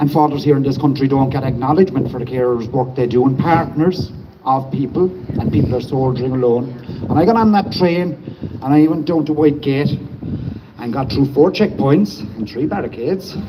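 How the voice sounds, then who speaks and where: Over noticeable background noise, a man speaks at a fairly quick pace with a fairly high pitch and ordinary pitch variation. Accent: Cork. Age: 50s. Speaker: protest speaker, former nurse and medic. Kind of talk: protest speech. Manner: impassioned.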